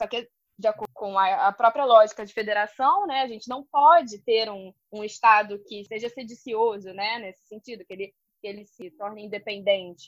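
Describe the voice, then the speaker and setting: Speaking at a moderate pace and a fairly high pitch, a woman shows ordinary pitch variation and big swings in loudness. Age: 30s. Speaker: history PhD student, teacher and podcast host. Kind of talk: casual academic discussion. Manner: halting, many fillers.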